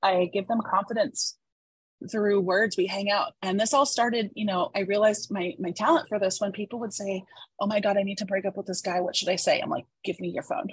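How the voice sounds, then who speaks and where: A woman with a medium pitch and a somewhat breathy voice talks at a fairly quick pace. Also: ordinary pitch variation. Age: 40s. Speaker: former hairstylist turned copywriter and entrepreneur. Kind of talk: casual interview.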